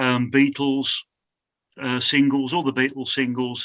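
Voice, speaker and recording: A man with a Birmingham accent speaks at a fairly slow pace and medium pitch. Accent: Birmingham (Brummie) English. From Birmingham, English Midlands. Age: 60s. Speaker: glass slide maker. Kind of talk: interview. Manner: halting, many fillers.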